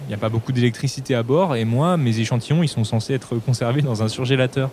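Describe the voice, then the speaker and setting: With a dark, mellow tone, a man talks at a fairly quick pace in a medium pitch, his intonation fairly even. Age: 20s. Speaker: microbiologist, student researcher. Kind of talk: recorded first-person account.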